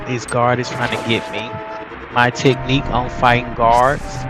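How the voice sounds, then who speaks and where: A man talks at a moderate pace in a strong Southern US accent. Music plays in the background. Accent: deep Southern. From US South, Mississippi. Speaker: gaming YouTuber. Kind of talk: game walkthrough commentary. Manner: casual, conversational.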